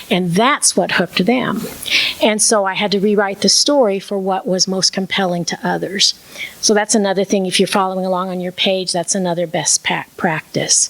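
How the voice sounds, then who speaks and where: There is noticeable background noise as a woman speaks at a medium pitch. She keeps a moderate pace and fairly even intonation. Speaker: minister and storyteller. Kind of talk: talk on preaching and storytelling.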